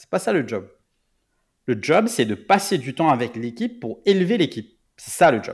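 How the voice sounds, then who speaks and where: In a very clean recording with a silent background, a man speaks at a moderate pace in a fairly high pitch. His pitch swings very widely and his loudness swings a lot. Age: 30s. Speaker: product manager. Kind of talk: interview. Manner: halting.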